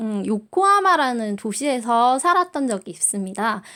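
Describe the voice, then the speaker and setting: A woman speaks in a relaxed tone. Her pitch swings very widely. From South Korea, Busan. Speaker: high school Japanese teacher. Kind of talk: recorded online class orientation. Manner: filler-heavy, relaxed (many 자, 어, 음).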